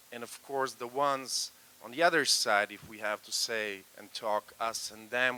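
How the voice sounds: A man with a clear, smooth, bright and sharp tone speaks at medium pitch with fairly even intonation.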